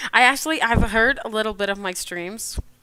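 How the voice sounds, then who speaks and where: A woman's fairly high, bright, sharp voice, animated in tone with lively intonation, on a very clean recording with a silent background. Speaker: digital artist streamer. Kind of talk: casual chat. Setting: live stream.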